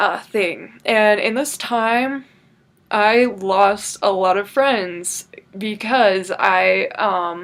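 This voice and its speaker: Speaking at a medium pitch, a woman keeps her intonation fairly even. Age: 20s. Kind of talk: personal story told to camera. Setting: bedroom. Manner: hesitant, casual, many filler words.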